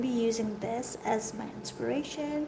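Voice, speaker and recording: Recorded with audible room echo and noticeable background noise, a woman with a fairly high pitch and ordinary pitch variation speaks at a fairly slow pace. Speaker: artist teaching sketching. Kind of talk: tutorial. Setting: art studio. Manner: loud and clear. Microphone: echoey room sound.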